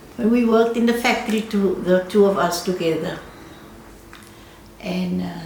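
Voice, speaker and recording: A woman of medium pitch speaks at a moderate pace with fairly even intonation and long, frequent pauses. Noticeable background noise and audible room echo are present. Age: 80s+. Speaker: retired dressmaker. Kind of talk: interview. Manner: halting.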